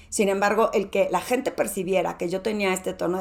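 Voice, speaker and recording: This woman has a medium pitch and ordinary pitch variation. She talks at a moderate pace. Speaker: podcast host, executive presence coach. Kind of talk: podcast monologue. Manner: moderate volume.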